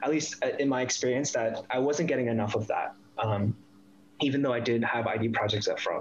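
A man's medium-pitched voice at a fairly quick pace, with very even loudness, fairly even intonation and noticeable background noise. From US East Coast, Northern Virginia / DC area. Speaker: industrial designer. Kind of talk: casual interview.

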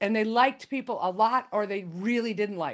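A woman's ordinary speaking voice with an American accent, at a moderate pace and with ordinary pitch variation, on a very clean recording with a silent background. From US Midwest, Illinois. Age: 60s. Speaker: comedy writer and improv comedian. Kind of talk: casual interview chat.

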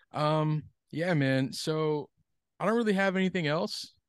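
A man with an American accent and an unremarkable speaking voice, ordinary pitch variation, a moderate pace, and a dry, close sound with no echo over a quiet background. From US Northeast, Connecticut. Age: 20s. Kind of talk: casual interview chat.

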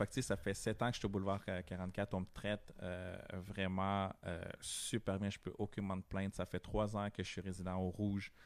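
A man speaks fairly slowly in a fairly low, flat monotone. The recording is very clean, with a silent background. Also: hardly any pauses. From Montreal, Quebec (Guatemalan family). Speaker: DJ. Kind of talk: casual chat.

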